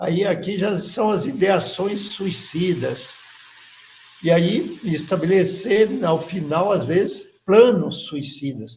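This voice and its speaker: With ordinary pitch variation, this man's voice sits high in pitch. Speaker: course teacher. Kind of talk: lecture.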